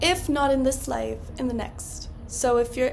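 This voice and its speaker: Noticeable background noise and audible room echo accompany a woman as she talks. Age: 20s. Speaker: podcast host. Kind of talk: casual solo podcast monologue.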